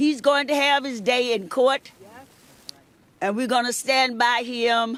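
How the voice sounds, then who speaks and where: Her voice high and her intonation fairly even, a woman talks at a fairly slow pace with long, frequent pauses. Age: 90s. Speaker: civil rights leader. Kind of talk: supportive speech.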